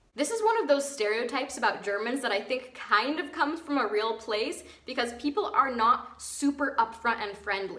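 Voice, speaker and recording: Over noticeable background noise, a woman with an American accent uses a raised, projected voice at a high pitch, talking at a moderate pace with lively intonation and hardly any pauses. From United States. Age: 20s. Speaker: vlogger. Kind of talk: casual talk to camera.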